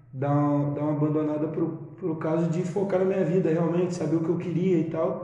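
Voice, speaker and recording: Over noticeable background noise, a high-pitched man talks fairly quickly in a flat monotone at a very even loudness. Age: 20s. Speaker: musician and music producer. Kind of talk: casual chat.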